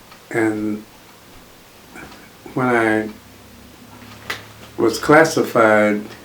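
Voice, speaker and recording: With noticeable background noise behind him, a man talks in a fairly low pitch with fairly even intonation. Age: old. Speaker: World War Two Air Force veteran. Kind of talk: interview answer.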